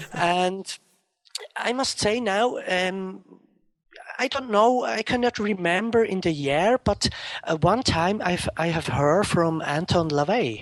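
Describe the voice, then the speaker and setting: In a Swiss German accent, a man with a high pitch and lively intonation speaks at a very slow pace. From Switzerland, Zurich area. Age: 30s. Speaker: interview guest. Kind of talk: interview. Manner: halting.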